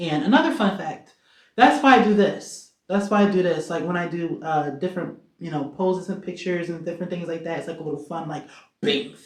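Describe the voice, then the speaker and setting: Audible room echo surrounds a woman speaking at a fairly quick pace. Her fairly low pitch has ordinary variation. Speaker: singer-songwriter. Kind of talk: casual vlog Q&A. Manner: animated.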